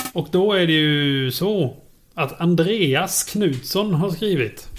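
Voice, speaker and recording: A man with a Småland accent speaks in a fairly high voice, his pitch moving in an ordinary way. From Småland, Sweden. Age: 30s. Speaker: podcast co-host. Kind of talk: casual chat.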